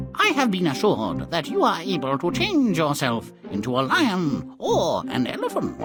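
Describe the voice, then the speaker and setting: A put-on character voice at a moderate pace, with clear music in the background. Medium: machinima. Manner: sly, theatrical.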